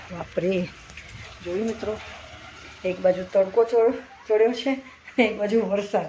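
Ordinary pitch variation in a woman's speech, with noticeable background noise behind it. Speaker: family vlogger. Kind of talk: casual vlog narration. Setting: at home. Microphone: no microphone, phone recording.

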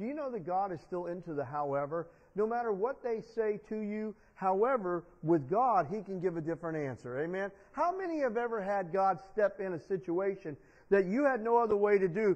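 The background stays quiet. A man talks at a fairly quick pace. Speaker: preacher. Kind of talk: sermon. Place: church.

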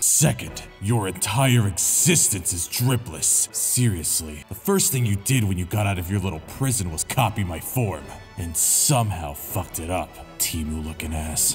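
A man's put-on character voice, fairly low in pitch, at a moderate pace, with clear music in the background. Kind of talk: comic roast, parody. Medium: fan dub.

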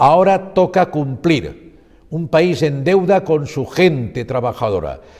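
Against a quiet background, a man speaks in a dark, mellow tone. His pace is very slow, his intonation lively. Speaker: TV news presenter. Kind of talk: news presentation. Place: studio. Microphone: lapel.

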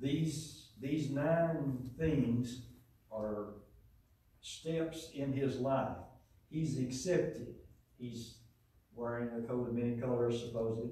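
A man talks at a very slow pace, leaving long, frequent pauses. His intonation stays fairly even, and the room echo is strong. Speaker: lay preacher. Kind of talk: sermon. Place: church.

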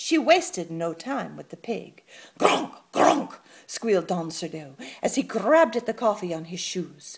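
Simply a natural reading voice

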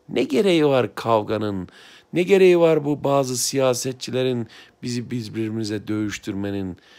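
A man talks with lively intonation, keeping a moderate pace. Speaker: blind aspiring writer, former teacher; former teacher. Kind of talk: heartfelt address to camera. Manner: emotional, impassioned. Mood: heartfelt, conciliatory, emotional. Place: home room. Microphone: phone near.

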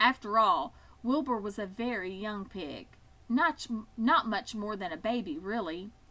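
Pitch moves in an ordinary way here. The words are given as plain reading aloud.

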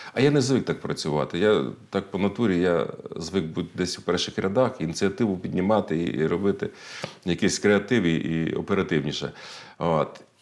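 A man speaks with a very deep, low pitch. His pace is moderate and his pitch variation ordinary. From central Ukraine, Kirovohrad region; Ukraine. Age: 50s. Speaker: politician. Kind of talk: interview. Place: studio. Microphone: lapel.

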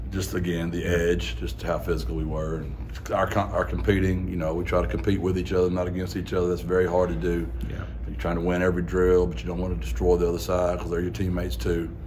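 A man's very deep, low voice at a very fast pace, over light background noise. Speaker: head football coach. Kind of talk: interview answer. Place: hall.

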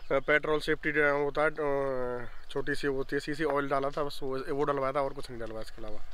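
Speaking at a moderate pace with hardly any pauses, a man uses a fairly high pitch and monotone, flat intonation, in a dry recording with no echo. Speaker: motorcycle owner; bike owner reviewer. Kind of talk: interview. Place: open country. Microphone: phone near.

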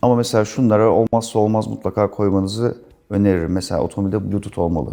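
At a very fast pace, a man speaks in a dark, mellow tone. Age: 40s. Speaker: company CEO. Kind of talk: interview.

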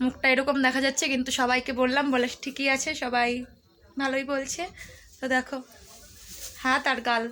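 Her voice is high, raised and projected, with very even loudness. She speaks in a monotone with flat intonation. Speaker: lifestyle vlogger. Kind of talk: casual vlog talk to camera. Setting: at home, then at a wedding.

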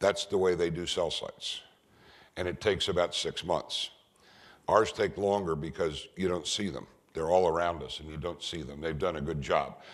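In an American accent, a man speaks at a very deep, low pitch and a moderate pace, his intonation fairly even. His loudness swings widely over a quiet background. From US West Coast. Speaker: technology consultant and speaker; speaker. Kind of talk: lecture. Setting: stage with audience. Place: hall. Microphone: podium.

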